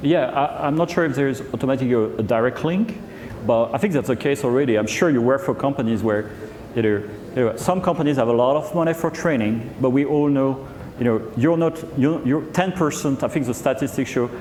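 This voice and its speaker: A man with a French accent speaks at a fairly high pitch and a fairly quick pace, with ordinary pitch variation and very even loudness, over noticeable background noise and audible room echo. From France. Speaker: HR executive. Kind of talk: fireside chat on stage.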